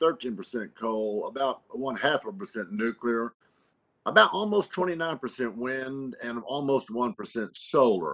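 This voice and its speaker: A man speaks at a moderate pace and medium pitch. His pitch swings very widely. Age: 60s. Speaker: congressman. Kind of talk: congressional hearing questioning. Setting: virtual remote hearing.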